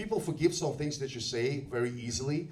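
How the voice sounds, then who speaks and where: Someone speaks with a Russian accent against noticeable background noise. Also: man. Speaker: stand-up comedian. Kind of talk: stand-up comedy set. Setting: comedy club, live audience.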